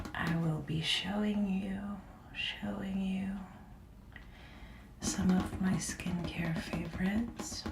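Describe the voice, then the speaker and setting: Very slow, monotone speech from a woman at medium pitch, full of long, frequent pauses, with music in the background. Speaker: ASMR creator. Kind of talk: skincare routine talk, ASMR. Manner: whispered, soft-spoken.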